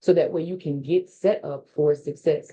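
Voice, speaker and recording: With an American accent, a woman speaks in an animated tone with lively intonation. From Texas, Dallas (Oak Cliff). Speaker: business consultant and workshop presenter. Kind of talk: webinar presentation. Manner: very fast.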